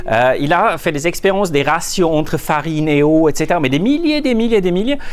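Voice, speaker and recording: With a Swiss German accent, a man with a high pitch talks at a fairly quick pace with lively intonation and very even loudness, and audible room echo is present. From Switzerland, Zurich. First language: Swiss German (speaking French). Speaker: management consultant. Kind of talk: conference talk. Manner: halting, many repetitions and fillers.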